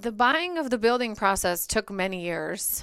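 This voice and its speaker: This very clean recording has a silent background. A woman speaks in a Bulgarian accent. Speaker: marketing agency co-founder. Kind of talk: interview conversation.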